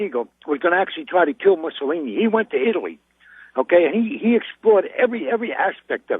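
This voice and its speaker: A man with a New York accent, high-pitched, at a very fast pace, with very wide pitch swings. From New York, Brooklyn (Brownsville). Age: 60s. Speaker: caller. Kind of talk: phone-in call. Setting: phone call from a car.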